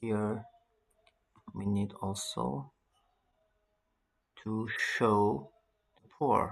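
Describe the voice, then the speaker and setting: A man speaks at a very slow pace, pausing long and often. His pitch sits fairly low, with lively intonation. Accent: non-native. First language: not English. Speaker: networking tutorial instructor. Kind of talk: tutorial.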